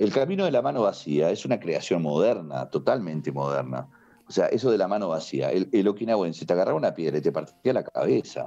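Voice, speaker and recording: A man in a Rioplatense accent, animated in tone and fairly quick in pace. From Uruguay, Montevideo. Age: 60s. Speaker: karate teacher. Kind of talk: podcast interview.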